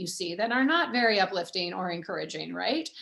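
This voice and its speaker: A fairly quick, animated delivery in a General American accent. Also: woman. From US Pacific Northwest, Everett, Washington. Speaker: author and former TV journalist. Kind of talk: author talk. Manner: fast.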